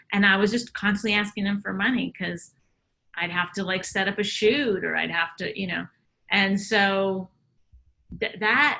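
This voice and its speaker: Her voice is bright and sharp with some vocal fry. The woman speaks at medium pitch and a moderate pace. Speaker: comedian. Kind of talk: casual chat.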